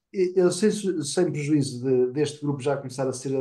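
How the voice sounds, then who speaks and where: A man's voice, dark and mellow in tone, comes through with a quiet background. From Portugal. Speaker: nonprofit board member. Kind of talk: online seminar discussion. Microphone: webcam.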